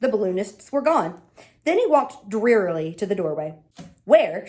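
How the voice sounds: The clip features a natural reading voice.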